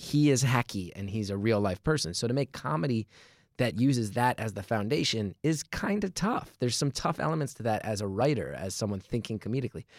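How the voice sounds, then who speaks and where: In a plain, everyday voice, a man with an American accent speaks at medium pitch, fairly quickly and with lively intonation. The sound is dry and close with no echo, and the recording is very clean with a silent background. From New Jersey. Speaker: comedian. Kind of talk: casual chat.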